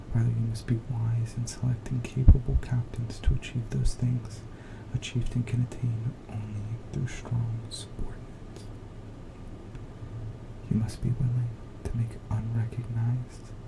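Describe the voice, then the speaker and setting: Soft-spoken delivery comes at a fairly slow pace with long, frequent pauses. Noticeable background noise is present. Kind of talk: ASMR soft-spoken book reading to help sleep.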